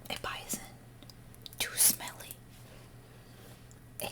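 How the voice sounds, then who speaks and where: Someone is whispering. Noticeable background noise is audible. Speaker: ASMR creator. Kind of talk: bedtime story reading.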